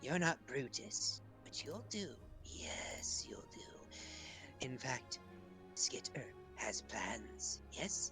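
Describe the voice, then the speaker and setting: Loud music plays in the background behind a put-on character voice. The delivery is very slow. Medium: actual play. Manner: wheedling, repeats herself with "yes".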